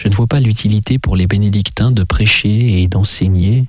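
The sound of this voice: Pitch moves in an ordinary way. The delivery is an unforced reading voice.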